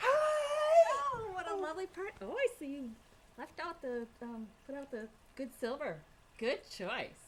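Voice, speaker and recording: At a moderate pace, a high-pitched, put-on character voice carries the speech. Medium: stage play. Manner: effusive.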